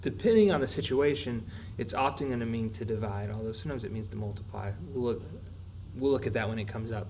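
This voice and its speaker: Audible room echo surrounds a man speaking at a fairly quick pace with ordinary pitch variation. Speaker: math teacher. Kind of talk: tutorial. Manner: fast.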